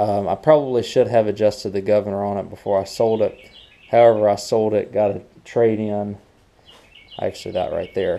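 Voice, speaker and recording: A man speaks in a fairly low pitch. His intonation stays flat and monotone. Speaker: small mower repair channel host. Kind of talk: casual vlog chat. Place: garage. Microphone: phone near.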